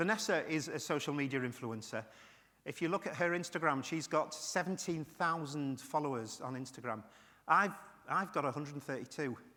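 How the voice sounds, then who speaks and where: With a British accent, a man talks in a fairly high voice. His tone is bright and sharp, with ordinary pitch variation. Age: 60s. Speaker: keynote speaker, retired IT professional with Parkinson's. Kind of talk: keynote speech. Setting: stage with audience.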